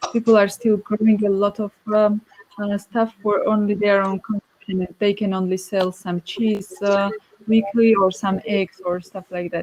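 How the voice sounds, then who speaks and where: A woman with a Georgian accent talks at a medium pitch in a monotone, flat intonation. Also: dry, close sound with no echo. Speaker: winemaker. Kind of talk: panel discussion. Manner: halting.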